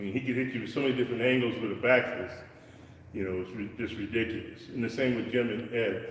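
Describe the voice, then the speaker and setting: Amid noticeable background noise and audible room echo, a man at medium pitch speaks very fast in a flat monotone. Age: 60s. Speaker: martial arts instructor. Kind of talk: live-streamed martial arts lesson. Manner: halting, repetitive.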